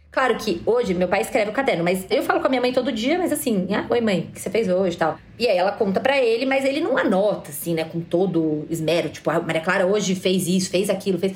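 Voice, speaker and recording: Over noticeable background noise, a woman races along at a very fast pace with hardly any pauses and lively intonation. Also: medium pitch for a woman. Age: 30s. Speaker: listener sharing family story. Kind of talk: interview. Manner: casual.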